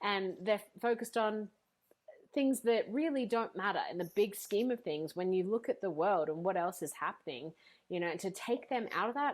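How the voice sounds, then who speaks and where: A woman's medium-pitched voice with an Australian accent, an animated tone, lively intonation and a moderate pace. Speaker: speaker and coach, former teacher. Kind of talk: podcast interview.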